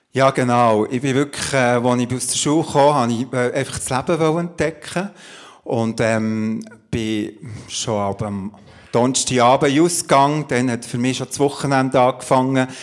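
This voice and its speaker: Speaking at a moderate pace, a man uses a normal speaking voice. His pitch sits in the medium range and varies in an ordinary way. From Switzerland, Emmental (Bern). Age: 50s. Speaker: pastor and coach. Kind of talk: testimony in a church talk interview. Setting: church service with audience.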